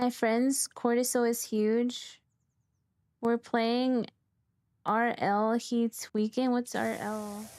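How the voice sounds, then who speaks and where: A woman with an American accent speaks very slowly at a fairly high pitch in a flat monotone, leaving long, frequent pauses. The recording is very clean, with a silent background. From California. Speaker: vtuber game streamer. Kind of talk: casual chat while gaming, reading chat. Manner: loud.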